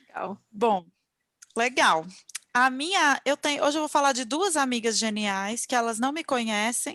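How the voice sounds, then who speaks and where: A woman's bright, sharp tone, high in pitch, with lively intonation at a fairly slow pace. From Minas Gerais, Brazil. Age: 40s. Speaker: podcast host. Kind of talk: casual chat.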